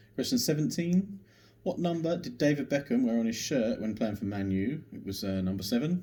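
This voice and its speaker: A man with an English accent speaks at a moderate pace in a fairly high pitch, his dark, mellow, somewhat breathy voice making very wide pitch swings. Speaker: pub quiz host. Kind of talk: online quiz video.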